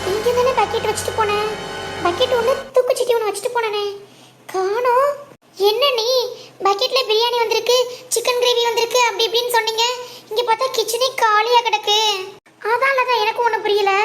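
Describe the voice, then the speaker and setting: In a cartoonish character voice with an extremely high pitch, a woman speaks at a moderate pace with monotone, flat intonation and very even loudness. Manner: bossy, shrill.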